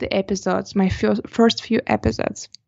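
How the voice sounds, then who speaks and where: A woman speaks with a slight non-native accent. Her pace is moderate. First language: not English. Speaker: portrait photographer and podcaster. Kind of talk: interview.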